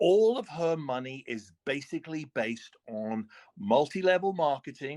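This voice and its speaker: A man's pitch swings very widely. The recording is dry and close, with no echo. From United Kingdom. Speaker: religious debater on a live stream. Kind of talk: heated debate. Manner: halting, frequent restarts and filler.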